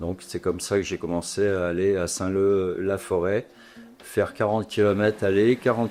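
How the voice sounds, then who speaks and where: Fairly level intonation pairs with a dark, mellow tone in this voice. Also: man. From Normandy, France. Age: 60s. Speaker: former footballer. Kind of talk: interview. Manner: halting.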